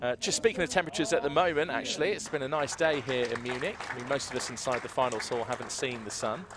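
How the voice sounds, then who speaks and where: Crowd noise fills the background as a man talks at a very fast pace. The sound itself is dry with no echo. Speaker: sports commentator. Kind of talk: commentary. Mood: cheerful, upbeat.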